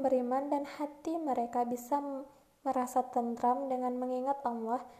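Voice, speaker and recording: A woman's high-pitched voice with a dark, mellow tone, a moderate pace and flat, monotone intonation. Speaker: university student. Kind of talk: student presentation reading aloud. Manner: formal.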